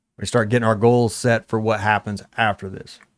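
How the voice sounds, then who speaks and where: In a very clean recording with a silent background, a man speaks fairly quickly at medium pitch in an unremarkable speaking voice. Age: 40s. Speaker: gym owner and strength coach. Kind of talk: casual chat.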